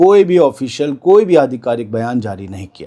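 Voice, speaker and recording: This man has a fairly high pitch and a dark, mellow tone. His intonation is lively and his tone calm. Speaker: news presenter. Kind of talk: news commentary. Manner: calm, unhurried; soft-spoken.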